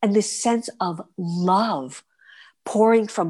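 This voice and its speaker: Against a quiet background, a woman with an American accent and medium pitch speaks with lively intonation. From New York City. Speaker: stage performer. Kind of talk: interview.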